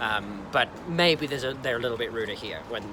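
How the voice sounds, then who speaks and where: Over noticeable background noise, a speaker with an Australian accent talks fairly quickly. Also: man. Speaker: travel vlogger. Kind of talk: casual vlog monologue. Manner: conversational with many fillers.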